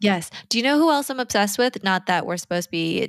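In a very clean recording with a silent background, a woman talks with lively intonation. Hers is a plain, everyday voice. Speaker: podcast host. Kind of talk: casual chat.

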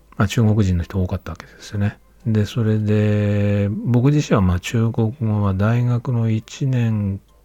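Over music in the background, a man with a fairly low pitch speaks with fairly even intonation, big swings in loudness, and hardly any pauses. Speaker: podcaster. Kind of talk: solo monologue. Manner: halting, many fillers.

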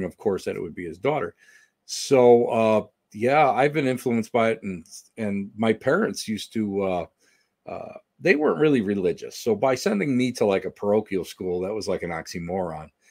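A man with an American accent speaks at a moderate pace in a normal speaking voice. His pitch is fairly low, with ordinary pitch variation. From Western New York. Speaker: paranormal investigator and author. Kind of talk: casual interview chat.

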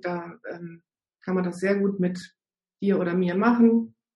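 Fairly even intonation carries a somewhat breathy voice. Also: woman. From northern Germany. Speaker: naturopath and fasting coach. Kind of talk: casual interview. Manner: frequent hesitations (ähm).

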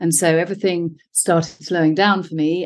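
A woman with a British accent, fairly low pitch and fairly even intonation at a moderate pace, against a quiet background. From UK. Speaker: functional medicine health coach. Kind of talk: interview.

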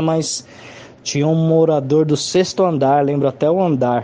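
A man with a normal speaking voice, fairly high in pitch, speaks at a fairly slow pace with fairly even intonation. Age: 20s. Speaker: psychologist and musician. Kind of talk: testimony.

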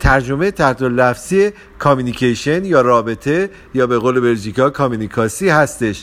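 Lively intonation marks this man's ordinary speaking voice, medium in pitch and moderate in pace. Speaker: podcast host on relationships. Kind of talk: casual talk.

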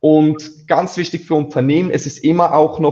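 This man has a fairly high pitch. His tone is dark and mellow. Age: 20s. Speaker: agency founder. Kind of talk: interview. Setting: live stream.

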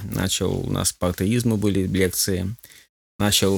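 The recording is very clean with a silent background. A man talks in a very deep, low pitch at a fairly slow pace with fairly even intonation. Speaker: pastor and church union leader. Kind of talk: radio interview.

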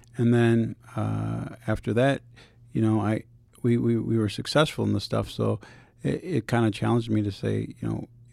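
The recording is very clean, its background silent. A man's speech moves at a moderate pace. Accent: American. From Saint Paul, Minnesota. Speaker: former pro soccer player, foundation founder. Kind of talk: interview.

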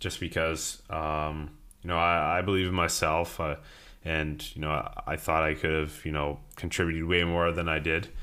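A man's very deep, low voice has a bright, sharp tone and audible room echo. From Ontario, Canada (Greater Toronto Area). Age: 20s. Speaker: professional hockey player. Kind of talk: interview. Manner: halting, many fillers.

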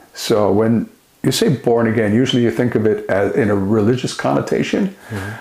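Speaking at a fairly quick pace in a normal speaking voice, a man keeps a medium pitch with ordinary pitch variation. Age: 60s. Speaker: author and speaker, former addict. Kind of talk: interview.

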